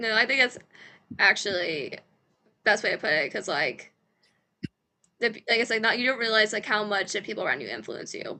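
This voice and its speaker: In an American accent, a woman speaks at a fairly quick pace and a fairly high pitch, her bright, sharp tone touched with vocal fry and lively intonation, broken by long, frequent pauses. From US Midwest. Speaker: church podcast host. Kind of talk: casual chat.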